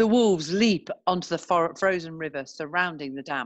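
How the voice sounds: A woman with a low pitch speaks at a moderate pace, her intonation lively.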